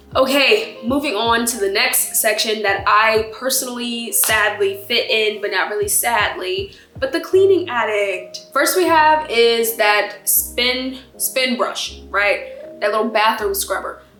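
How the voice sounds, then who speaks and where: Over background music and with audible room echo, a woman talks at a fairly slow pace with hardly any pauses, using a fairly high pitch and lively intonation. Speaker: lifestyle YouTuber. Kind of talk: casual vlog talk. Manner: animated.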